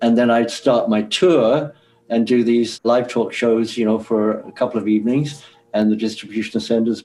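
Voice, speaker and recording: A man with an English accent speaks at a medium pitch and a moderate pace. His intonation stays fairly even, with music in the background. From England. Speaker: former record promotion man. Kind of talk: interview recollection.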